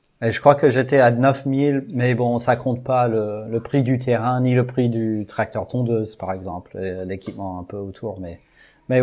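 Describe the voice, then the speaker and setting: A man with an American accent speaks at a fairly slow pace and medium pitch, in a dark, mellow tone with ordinary pitch variation, in a very clean recording with a silent background. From US, Texas (Houston). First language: English (speaking French). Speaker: amateur baseball field builder. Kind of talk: interview.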